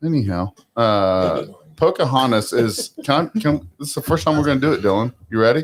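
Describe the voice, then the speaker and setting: Lively intonation marks a man's medium-pitched voice at a fairly quick pace. The sound is dry and close, with no echo. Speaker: podcast host. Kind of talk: casual chat. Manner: loud.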